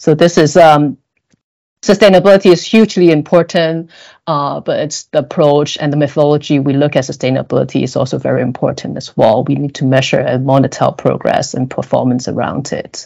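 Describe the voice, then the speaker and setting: This woman speaks with a Cantonese accent at a fairly quick pace, her pitch very deep and low. Her tone is dark and mellow, with ordinary pitch variation. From Hong Kong. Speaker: corporate sustainability director. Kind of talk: podcast interview. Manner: hesitant, many fillers.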